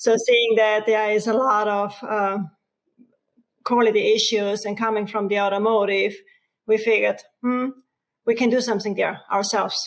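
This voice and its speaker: Monotone, flat intonation at a moderate pace, with long, frequent pauses. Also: woman, fairly high pitch for a woman. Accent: Austrian. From Austria. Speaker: RV company co-founder. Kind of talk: interview.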